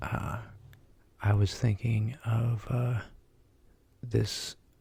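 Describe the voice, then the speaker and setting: A relaxed, soft-spoken delivery. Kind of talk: ASMR fact reading. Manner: soft-spoken, relaxed.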